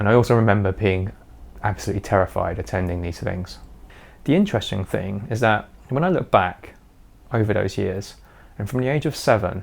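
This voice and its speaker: A man with a British accent and a fairly low voice talks at a fairly quick pace in a confident tone, taking long, frequent pauses. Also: ordinary pitch variation. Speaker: YouTuber sharing personal experience. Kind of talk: personal vlog monologue. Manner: confident, fluent.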